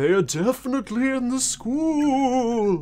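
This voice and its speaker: This put-on character voice has a fairly high pitch and a fairly slow pace. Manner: ominous.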